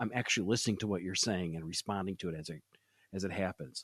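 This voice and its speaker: A man with a Great Lakes accent, in a dry, close sound with no echo. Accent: US Midwest (Great Lakes). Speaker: podcast host; sales podcast host. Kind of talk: interview. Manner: fast.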